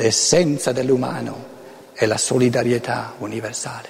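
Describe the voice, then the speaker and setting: A man speaks at a fairly slow pace amid noticeable background noise and audible room echo. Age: 70s. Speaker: author and lecturer. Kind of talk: lecture. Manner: halting.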